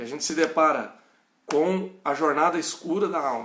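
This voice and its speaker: Audible room echo surrounds a man with an interior São Paulo accent, who talks at a fairly slow pace with lively intonation. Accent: caipira, moderate. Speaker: pastor. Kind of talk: bible study lecture. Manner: halting.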